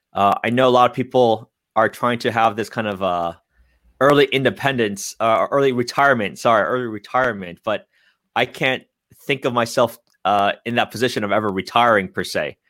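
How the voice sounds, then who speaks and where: Here is a man with an American accent and a plain, everyday voice at medium pitch. He speaks at a fairly quick pace over a very clean recording with a silent background. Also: ordinary pitch variation. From San Francisco Bay Area, California. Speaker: real estate agent. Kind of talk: interview.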